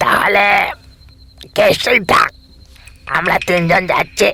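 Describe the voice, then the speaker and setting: A man does a raspy, cartoonish character voice at a fairly slow pace. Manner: teasing, brash.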